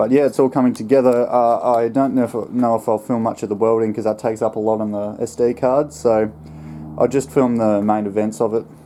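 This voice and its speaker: A man speaks at a moderate pace with an Australian accent. His pitch is medium and his intonation fairly even. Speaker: home mechanic and fabricator. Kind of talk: casual workshop narration. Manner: monotone.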